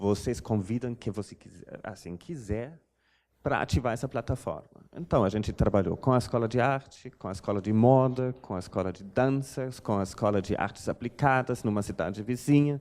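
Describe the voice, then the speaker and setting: A man's medium-pitched voice with a German accent. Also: ordinary pitch variation, moderate pace. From Germany. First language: German (speaking Portuguese). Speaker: art curator. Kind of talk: lecture. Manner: halting, many fillers.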